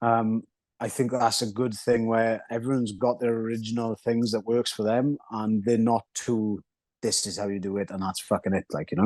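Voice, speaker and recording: A man in a Welsh accent at a fairly quick pace, with fairly even intonation, a dry, close sound with no echo, and a quiet background. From Wales. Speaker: mixed martial arts fighter. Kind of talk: interview. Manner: casual, hesitant with fillers.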